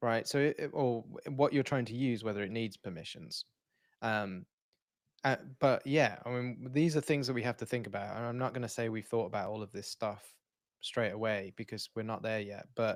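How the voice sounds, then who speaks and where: A British-accented man talks at a moderate pace with ordinary pitch variation. The recording is very clean, with a silent background. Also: medium pitch for a man. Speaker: software developer, livestream co-host. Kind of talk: casual technical livestream chat. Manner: halting, many false starts.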